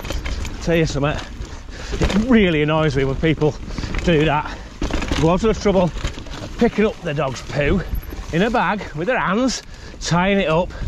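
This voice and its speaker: A man's fairly slow, lively-toned speech, with a dry sound without echo and noticeable background noise. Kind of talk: casual vlog chat while riding. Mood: annoyed rant, then joking. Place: forest. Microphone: helmet.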